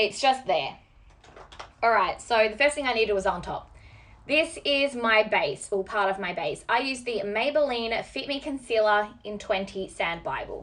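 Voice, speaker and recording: With an Australian accent, a woman speaks at a fairly high pitch. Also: lively intonation, moderate pace. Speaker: beauty vlogger. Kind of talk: makeup tutorial. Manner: animated.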